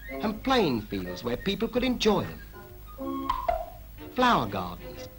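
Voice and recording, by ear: With faint music in the background, a man performs a cartoonish character voice at a slow pace, his pitch high, his tone fairly bright and his pitch swings very wide.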